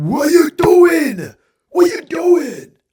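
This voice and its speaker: In a put-on character voice, a man speaks raspily at an extremely high pitch and fairly slow pace, with a strong Spanish accent as part of the act. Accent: thick Spanish. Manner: accusing, incredulous.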